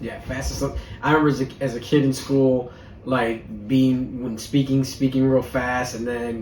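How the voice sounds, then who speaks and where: There is noticeable background noise and audible room echo. A man speaks at medium pitch in a monotone, flat intonation. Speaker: podcast co-host. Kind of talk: casual chat. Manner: fast; long run-on sentences.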